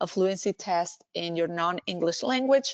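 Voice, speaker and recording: A woman with a Spanish accent at medium pitch and moderate pace, ordinary pitch variation, a dry, close sound with no echo, and a quiet background. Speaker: language services director and healthcare speaker. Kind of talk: webinar presentation Q&A. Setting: online webinar. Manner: hesitant, with fillers and restarts.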